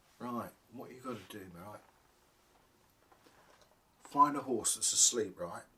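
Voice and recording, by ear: In a put-on character voice, a man speaks at medium pitch with a bright, sharp tone. His pace is slow and his intonation lively.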